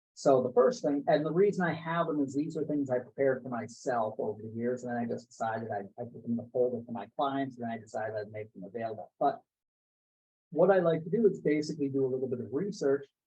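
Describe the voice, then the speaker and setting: Very fast and with lively intonation, a man with an American accent speaks at a medium pitch, somewhat breathy, his loudness swinging widely. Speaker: international sales consultant. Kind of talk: interview. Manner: frequent stammered repetitions.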